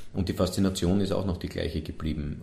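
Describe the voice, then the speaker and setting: The voice has a dark, mellow tone. Some room echo can be heard. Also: man. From Vienna, Sievering. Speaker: festival director. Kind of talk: interview. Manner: halting.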